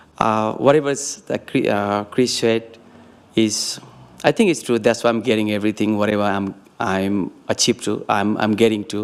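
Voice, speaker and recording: Speaking at a moderate pace with a non-native accent, a man uses a fairly low pitch and fairly even intonation. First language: not English. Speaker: local business owner receiving award. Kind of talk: short acceptance speech. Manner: halting.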